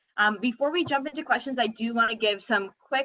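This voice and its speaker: A woman with a normal speaking voice, fairly quick, with ordinary pitch variation and a quiet background. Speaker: admissions administrator; university admissions staff host. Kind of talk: webinar hosting. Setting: video call. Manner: upbeat, friendly. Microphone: video call.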